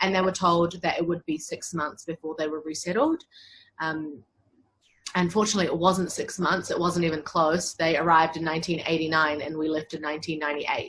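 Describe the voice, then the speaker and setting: A woman talks at a fairly quick pace with a fairly low pitch and monotone, flat intonation. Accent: New Zealand. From New Zealand. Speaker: human rights lawyer. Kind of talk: interview.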